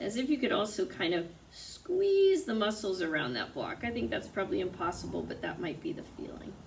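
Over light background noise, a woman speaks at a fairly quick pace in a fairly high voice with very wide pitch swings. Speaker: yoga teacher. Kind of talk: guided yoga class instruction. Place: home room. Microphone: camera far.

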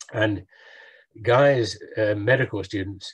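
A man speaks at a moderate pace with a fairly low pitch. His voice is somewhat breathy, and the background is quiet. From England. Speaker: professor of oral medicine and medical historian; professor of oral medicine. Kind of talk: lecture. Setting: video call. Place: home room. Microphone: webcam.

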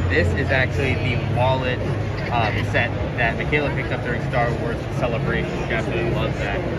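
Loud background noise surrounds a man talking at a fairly quick pace. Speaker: vlogger. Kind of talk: casual vlog chat. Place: hall. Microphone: phone near.

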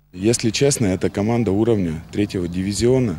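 A man's very deep, low pitch comes through with light background noise around it. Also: dry sound with no echo. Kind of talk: interview answer. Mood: calm, measured. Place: stadium.

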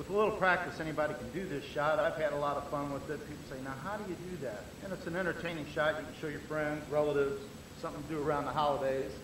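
Against noticeable background noise, a man delivers his words at a very fast pace with fairly even intonation. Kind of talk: demonstration commentary. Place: hall. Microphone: old recording.

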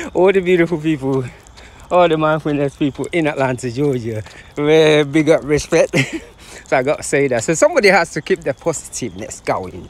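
The dry sound with no echo carries a man talking at a fairly quick pace with ordinary pitch variation. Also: big swings in loudness. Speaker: runner vlogger. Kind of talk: casual vlog chat. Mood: joyful, laughing. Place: open country. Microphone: phone near.

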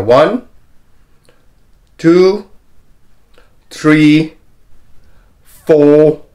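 Behind this man's voice, the background stays quiet. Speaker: health coach. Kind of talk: tutorial.

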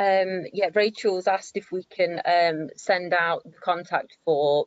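Against a quiet background, a woman has an unremarkable speaking voice at a fairly low pitch, with fairly even intonation. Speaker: webinar moderator. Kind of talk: webinar Q&A moderation. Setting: video call. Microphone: video call.

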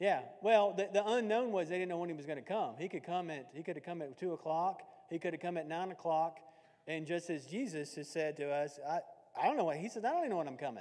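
Talking at a very fast pace, a man with a Tennessee accent has a high pitch. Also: ordinary pitch variation, quiet background. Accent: Southern US (Tennessee). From US South, Lawrenceburg, Tennessee. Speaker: Bible class teacher. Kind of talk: Bible class lecture. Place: church.

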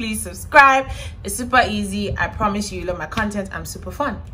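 The speech moves at a moderate pace. There is light background noise. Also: woman. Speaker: vlogger. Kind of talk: casual vlog chat. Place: home room. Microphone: phone near.

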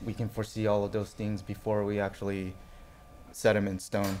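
Light background noise sits behind a man with a fairly low pitch. He talks at a moderate pace with monotone, flat intonation. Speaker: network test engineer; conference presenter. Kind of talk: conference talk. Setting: stage with audience. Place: hall.

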